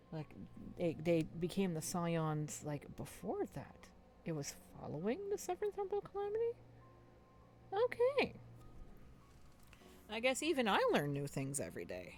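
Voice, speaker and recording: The speech has a moderate pace with long, frequent pauses. Background noise is noticeable. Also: woman. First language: French. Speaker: streamer. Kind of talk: casual chat. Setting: live stream.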